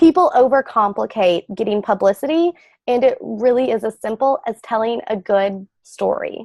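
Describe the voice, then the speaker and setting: Energetic in tone, a woman speaks at a fairly high pitch and a moderate pace with lively intonation, her voice dry and close with no echo over a quiet background. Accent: Southern US. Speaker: publicity and branding expert. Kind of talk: interview.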